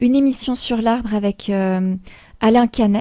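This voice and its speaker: Speaking at a fairly slow pace, a woman with a fairly high pitch and a dark, mellow tone keeps her intonation fairly even. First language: Polish (speaking French). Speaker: radio host. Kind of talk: radio talk show.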